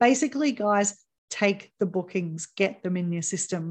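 A woman with a New Zealand accent speaks at a moderate pace and medium pitch. Her pitch variation is ordinary, and the background is quiet. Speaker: podcast host. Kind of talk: casual interview.

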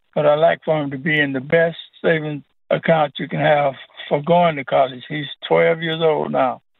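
At a moderate pace, a man of fairly high pitch talks with monotone, flat intonation. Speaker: caller, retiree. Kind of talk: call-in question. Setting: phone call.

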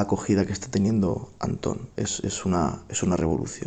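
Here is a man with a fairly low pitch. His tone is dark and mellow. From Spain. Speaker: flamenco singer. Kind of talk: recorded testimonial message.

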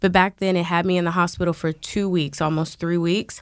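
A woman with a plain, everyday voice and a fairly low pitch speaks at a moderate pace with fairly even intonation. The recording is very clean, with a silent background. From Washington DC. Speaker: bartender and fitness instructor. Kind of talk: casual interview.

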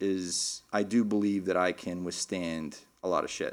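A man with an American accent speaks at a fairly slow pace and with fairly even intonation in an unremarkable speaking voice, on a very clean recording with a silent background. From Texas, Lubbock. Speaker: professional golfer. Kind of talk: casual interview. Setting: studio.

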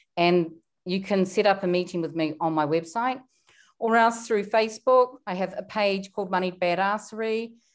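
In a New Zealand accent, the speech moves at a moderate pace with ordinary pitch variation, in a very clean recording with a silent background. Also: woman, medium pitch for a woman. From New Zealand, small town. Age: 50s. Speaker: wealth coach. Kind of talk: interview.

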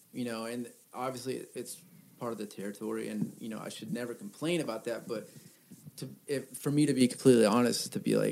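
Here is an ordinary speaking voice from a man, medium in pitch. He keeps a moderate pace with ordinary pitch variation. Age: 30s. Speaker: musician. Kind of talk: casual chat.

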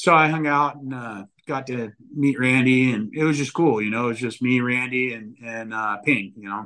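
With a Californian accent, a man talks at a moderate pace and medium pitch, varying his pitch in an ordinary way. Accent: Californian American. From Northern California. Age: 40s. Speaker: motocross media editor. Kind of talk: casual chat.

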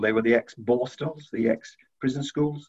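The speaker has a Welsh accent. The delivery moves at a moderate pace. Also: man. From South Wales. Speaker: university head. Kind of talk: interview.

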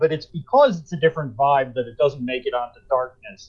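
A man with an American accent and a normal speaking voice, lively intonation and a moderate pace. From US Northeast (Rockland County NY / northern New Jersey). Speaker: political writer and former lawyer. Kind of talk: casual chat.

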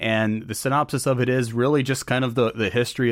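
Speech comes at a moderate pace with fairly even intonation in an ordinary speaking voice. The recording is very clean, with a silent background. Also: man. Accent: American. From North Carolina. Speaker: podcast host. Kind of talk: interview conversation; scripted narration.

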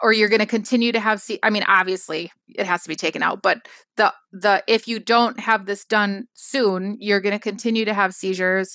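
A woman with an Upper Midwest accent talks at a fairly quick pace in a bright, sharp tone, the sound dry and close with no echo. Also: medium pitch for a woman, fairly even intonation. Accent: Upper Midwest American. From Wisconsin, US Upper Midwest. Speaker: scrapbook product designer and company founder. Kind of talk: casual interview. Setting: remote call.

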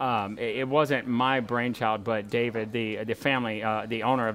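With music in the background, a man keeps a moderate pace and ordinary pitch variation. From Walker, Louisiana. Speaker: home decor wholesaler designer. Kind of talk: interview.

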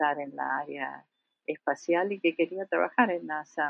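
Very slowly, a woman speaks at a very deep, low pitch with fairly even intonation. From Argentina. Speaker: planetary scientist. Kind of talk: interview.

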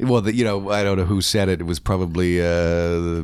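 Here a man speaks at a very deep, low pitch. His intonation is fairly even. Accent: Canadian. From Oshawa, Ontario, Canada. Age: 50s. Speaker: rock radio broadcaster and author. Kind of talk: casual interview chat. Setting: host's dining room.

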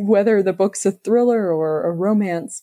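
This woman has a normal speaking voice, ordinary pitch variation and a moderate pace, and the recording is very clean with a silent background. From US, moved around (Navy family). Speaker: novelist. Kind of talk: casual interview.

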